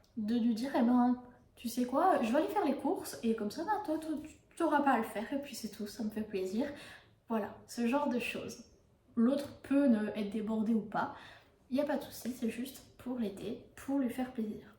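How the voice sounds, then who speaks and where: Her pitch is high for a woman, with ordinary variation, and she speaks at a moderate pace. There is audible room echo along with noticeable background noise. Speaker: book reviewer and yoga youtuber. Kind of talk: casual book review monologue. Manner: hesitant, many fillers.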